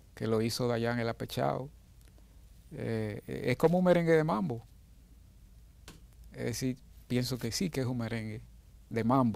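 With lively intonation and long, frequent pauses, a man talks at a fairly slow pace in a dry sound with no echo. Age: 60s. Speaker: musician. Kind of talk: interview. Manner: halting. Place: studio. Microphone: lapel.

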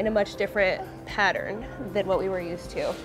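A woman's fairly quick speech over clear music in the background. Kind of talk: interview answer. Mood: earnest, emotional, grateful. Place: hall. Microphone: lapel.

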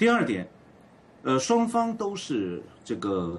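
Vocal fry and very wide pitch swings mark the voice over a quiet background. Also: man. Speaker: political commentator. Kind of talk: live panel discussion.

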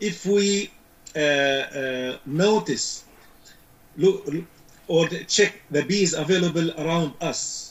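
A man with an Arabic accent talks at a very slow pace with long, frequent pauses. His high voice shows ordinary pitch variation. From Syria. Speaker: beekeeping expert; guest. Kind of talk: interview. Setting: video call. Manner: halting. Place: home room. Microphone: video call.

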